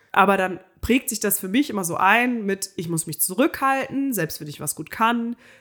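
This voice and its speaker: In a very clean recording with a silent background, a woman with an ordinary speaking voice talks at a moderate pace and medium pitch, her intonation lively and her loudness swinging widely. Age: 20s. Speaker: podcast co-host. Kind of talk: casual chat.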